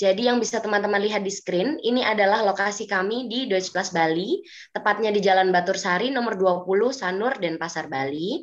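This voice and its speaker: Over a quiet background, a woman talks at a fairly quick pace with hardly any pauses and ordinary pitch variation. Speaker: German language teacher; presenter. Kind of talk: webinar presentation. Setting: video call. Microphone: video call.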